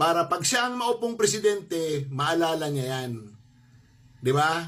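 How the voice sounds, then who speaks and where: A man's high-pitched voice has a bright, sharp tone, lively intonation and a moderate pace. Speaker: commentator. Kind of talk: angry political rant. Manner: sarcastic, scolding, rhetorical questions, defiant.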